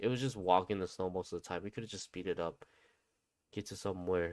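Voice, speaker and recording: With a non-native accent, a man talks at a fairly low pitch with ordinary pitch variation. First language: not English. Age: 30s. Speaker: gaming streamer. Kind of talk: casual live stream chat. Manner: casual, hesitant with fillers.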